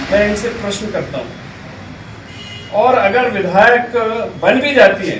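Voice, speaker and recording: Noticeable background noise surrounds this man's voice. Room echo is audible as well. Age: 60s. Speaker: independent election candidate. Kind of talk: press conference statement.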